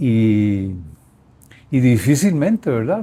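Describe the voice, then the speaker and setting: A man is speaking. His tone is dark and mellow and somewhat breathy. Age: old. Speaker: grandfather, former sportsman. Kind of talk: interview answer. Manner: hesitant, reflective.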